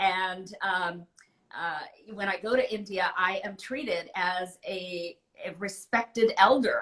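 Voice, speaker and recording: A woman's medium-pitched voice, very slow, with big swings in loudness and ordinary pitch variation. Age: 60s. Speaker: author. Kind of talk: interview. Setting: live video call.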